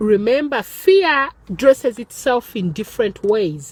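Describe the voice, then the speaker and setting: Against noticeable background noise, a woman speaks fairly slowly in a high pitch with lively intonation, the sound dry and close with no echo. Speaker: empowerment teacher and author. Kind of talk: motivational talk. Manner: halting, with fillers.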